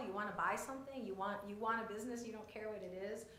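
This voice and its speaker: A woman talks with audible room echo in the recording. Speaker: business development presenter. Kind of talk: public meeting presentation. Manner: fast; animated.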